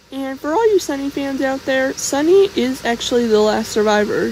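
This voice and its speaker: Lively intonation at a moderate pace, with noticeable background noise behind the voice. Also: woman. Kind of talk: casual fan theory talk. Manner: quiet, soft-spoken.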